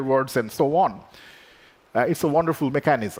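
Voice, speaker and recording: This speaker has a Bengali accent. The pace is moderate. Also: man. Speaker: AI researcher. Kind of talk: conference keynote talk.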